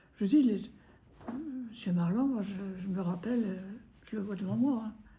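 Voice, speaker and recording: There is audible room echo and noticeable background noise as a woman talks at a moderate pace and medium pitch with ordinary pitch variation. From Normandy, France (Granville). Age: 90s. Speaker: war-time witness. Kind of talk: testimony interview. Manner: halting.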